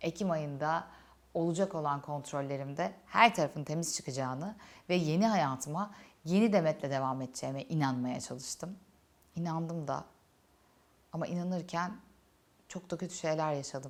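Her voice very deep and low, a woman speaks at a moderate pace with ordinary pitch variation and long, frequent pauses. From Turkey, Antalya. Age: 30s. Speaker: YouTuber, cancer survivor. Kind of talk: personal testimony. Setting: studio set during makeup session. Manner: emotional, reflective.

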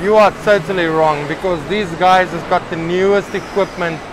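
High-pitched man's voice with fairly even intonation, clear background noise behind it. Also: moderate pace.

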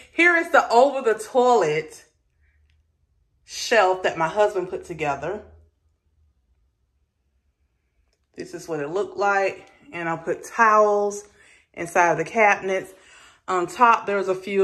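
A woman at a moderate pace, with big swings in loudness, long and frequent pauses, ordinary pitch variation and a quiet background. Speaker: home decor vlogger. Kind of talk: casual vlog chat. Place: bathroom. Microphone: phone near.

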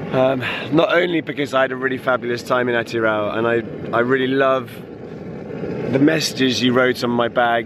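A man at medium pitch with fairly even intonation and very even loudness, at a moderate pace over noticeable background noise. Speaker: long-distance touring cyclist. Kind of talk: casual video message to camera.

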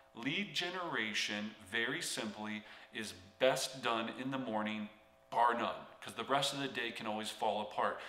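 A man's voice with ordinary pitch variation and audible room echo. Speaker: real estate coach. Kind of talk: motivational tutorial talk. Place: home room.

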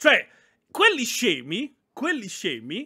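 In a raised, projected voice, a man speaks at a moderate pace with very wide pitch swings on a very clean recording with a silent background. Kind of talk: casual chat. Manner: animated, chatty, profane.

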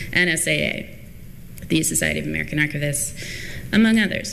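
A woman talks at a fairly quick pace over light background noise. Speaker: conference session moderator. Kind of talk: speaker introduction. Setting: stage with audience. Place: hall. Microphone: podium.

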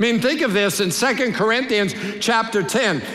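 At a fairly slow pace, a man projects a raised voice with ordinary pitch variation as the room echo stays audible. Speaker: pastor, preacher. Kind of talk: sermon, preaching to a congregation. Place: church. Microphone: headset.

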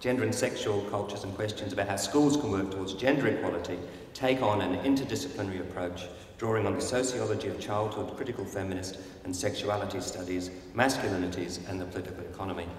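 Light background noise and audible room echo surround a man with a fairly low pitch talking at a very fast pace. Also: ordinary pitch variation. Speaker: conference host introducing keynote speaker. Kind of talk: speaker introduction. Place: hall. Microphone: podium.

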